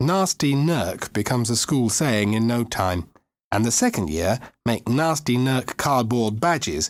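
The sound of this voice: With lively intonation, an unforced reading voice sounds out against a quiet background.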